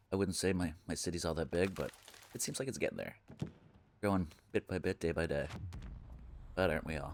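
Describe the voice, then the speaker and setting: Speaking very fast with a Canadian accent, a man uses a very deep, low pitch and ordinary pitch variation. He leaves long, frequent pauses. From Canada. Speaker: gaming streamer. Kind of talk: live gameplay commentary. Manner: casual, chatty.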